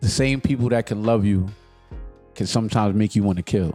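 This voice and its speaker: Over music in the background, a man talks at a moderate pace with a fairly low pitch. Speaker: radio host, DJ. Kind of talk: casual podcast hosting.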